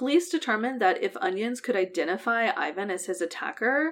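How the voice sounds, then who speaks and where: Very wide pitch swings on a very clean recording with a silent background. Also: woman. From US Midwest. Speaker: true crime podcast co-host. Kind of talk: casual chat with case storytelling.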